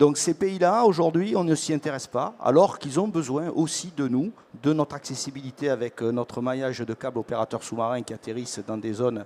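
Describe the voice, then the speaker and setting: A dark, mellow tone at a fairly quick pace, with lively intonation. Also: man, fairly high pitch for a man. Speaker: tech panelist. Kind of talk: panel discussion.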